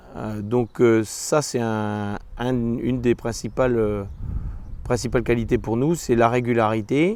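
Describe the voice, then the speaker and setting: Here a man speaks at a medium pitch with fairly even intonation. His pace is very slow. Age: 40s. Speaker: dairy farmer. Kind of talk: interview testimony. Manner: hesitant, many fillers.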